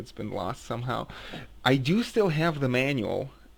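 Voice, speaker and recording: With a non-native accent, a man speaks at a fairly quick pace with ordinary pitch variation. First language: not English. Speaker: gaming video reviewer. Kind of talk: casual game review monologue. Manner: halting, many fillers and restarts.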